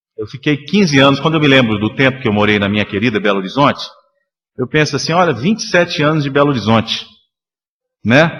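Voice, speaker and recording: A man with a Minas Gerais accent, fairly high pitch and lively intonation, at a very fast pace with long, frequent pauses. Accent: Minas Gerais (mineiro). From Minas Gerais, Brazil. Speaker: spiritist lecturer. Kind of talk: lecture. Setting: spiritist center public meeting.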